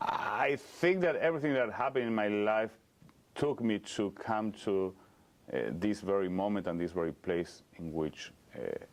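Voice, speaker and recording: The speaker has a slight Argentine accent and lively intonation. The pace is moderate. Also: man, fairly low pitch for a man. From Argentina (Cordoba). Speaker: rabbi. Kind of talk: interview. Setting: synagogue.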